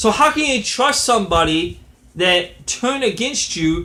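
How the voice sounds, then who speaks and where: A man projects a raised voice with a bright, sharp tone and very wide pitch swings. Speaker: wrestling commentator vlogger. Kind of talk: casual commentary monologue. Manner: halting, many fillers and restarts.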